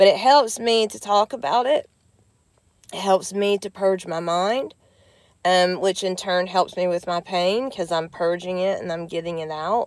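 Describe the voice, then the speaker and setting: A woman with an American accent speaks at a medium pitch with ordinary pitch variation, recorded very cleanly against a silent background. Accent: Southern US twang, comes out now and then. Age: 40s. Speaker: vlogger with chronic illness. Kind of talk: casual live vlog. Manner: halting, many fillers.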